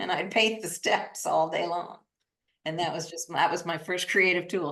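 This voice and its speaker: Speaking at a moderate pace, a woman with a US Midwestern accent has a fairly low pitch. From US Midwest, Iowa. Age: 60s. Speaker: artist. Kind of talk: interview.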